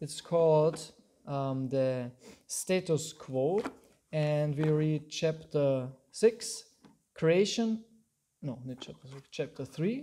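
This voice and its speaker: A man talks at a very slow pace with long, frequent pauses and big swings in loudness. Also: fairly high pitch for a man, ordinary pitch variation. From Austria. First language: German. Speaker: Hare Krishna teacher. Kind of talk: lecture. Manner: halting.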